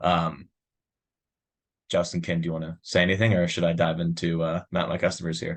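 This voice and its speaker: In a New York accent, a man with a very deep, low pitch talks at a fairly quick pace in a monotone, flat intonation, leaving long, frequent pauses against a quiet background. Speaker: software sales demo presenter. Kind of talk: product demo webinar. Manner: fast; casual, filler-heavy.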